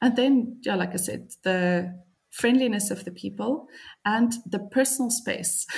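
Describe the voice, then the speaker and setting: Speaking at a medium pitch, a woman with a South African accent sounds somewhat breathy. She talks at a fairly slow pace with ordinary pitch variation. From Cape Town, South Africa. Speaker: copywriter, expat. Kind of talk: casual interview.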